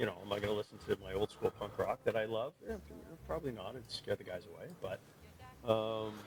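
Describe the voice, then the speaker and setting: A man talks at a fairly quick pace, his loudness swinging widely. The sound is dry and close with no echo, over noticeable background noise. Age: 50s. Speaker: music enthusiast guest. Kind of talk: casual chat. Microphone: poor audio quality.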